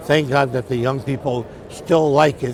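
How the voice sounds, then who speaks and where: With noticeable background noise behind him, a man of medium pitch talks at a moderate pace with fairly even intonation. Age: 80s+. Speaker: coin dealer. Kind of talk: interview.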